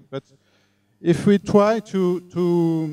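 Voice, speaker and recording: With a French accent, a man speaks in a dark, mellow tone, recorded dry with no echo. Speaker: tech talk speaker. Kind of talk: lecture. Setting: live talk with audience. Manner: halting. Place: meeting room. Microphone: handheld.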